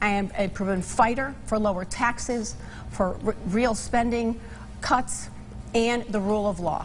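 At a fairly slow pace and with few pauses, a woman talks at medium pitch with ordinary pitch variation.

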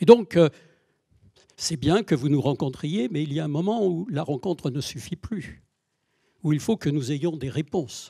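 Somewhat breathy, with a dark, mellow tone, the voice moves at a fairly slow pace with lively intonation over a quiet background. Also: man. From France. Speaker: mayor. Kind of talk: speech. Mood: critical, earnest. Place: hall. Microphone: handheld.

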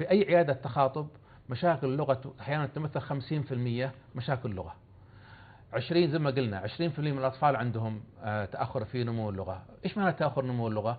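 A somewhat breathy man with lively intonation at a moderate pace. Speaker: professor of phoniatrics; guest. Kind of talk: TV interview. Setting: studio. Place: studio. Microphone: lapel.

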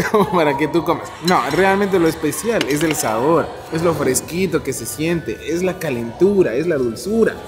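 Music can be heard clearly behind the voice. The delivery keeps a moderate pace. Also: man. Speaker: food vlogger. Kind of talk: casual vlog chat. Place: cafe. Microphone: camera far.

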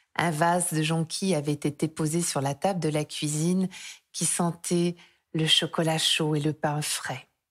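Very deep and low, a woman's voice has a soothing tone and monotone, flat intonation at a fairly slow pace. The recording is very clean, with a silent background. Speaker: storyteller reading a tale aloud. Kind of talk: bedtime story, scripted tale read aloud. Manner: soft, slow, soothing and dreamy, gently lulling.

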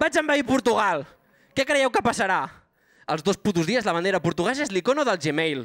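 Fairly quick speech against a quiet background. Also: man. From Banyoles, Catalonia; Catalonia. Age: 20s. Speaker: stand-up comedian. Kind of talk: stand-up. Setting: stage with live audience. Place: stage. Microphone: handheld.

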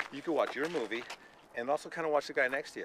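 A man at a fairly high pitch, deadpan in tone, at a very fast pace with fairly even intonation, in a dry sound with no echo amid noticeable background noise. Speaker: comedian. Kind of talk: interview questions. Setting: outdoors. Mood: relaxed, joking. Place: open country. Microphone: phone near.

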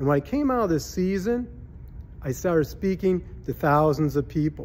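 A man's voice at a moderate pace. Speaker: minister and speaker. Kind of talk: short devotional verse reading. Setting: conference venue. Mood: warm, earnest, encouraging. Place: home room. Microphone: phone near.

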